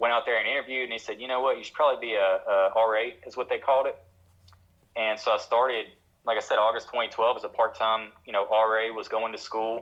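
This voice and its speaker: A man speaks with a Tennessee accent at medium pitch. His intonation stays monotone and flat. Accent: Tennessee Southern drawl. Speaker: addiction counselor. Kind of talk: interview.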